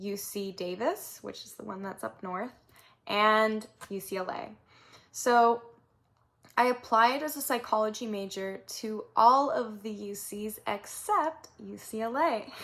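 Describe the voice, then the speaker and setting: In a Southern California accent, a woman speaks fairly slowly at a fairly high pitch. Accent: Southern California Valley girl. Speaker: vlogger, recent university graduate. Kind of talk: personal storytelling vlog. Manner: casual with many filler words.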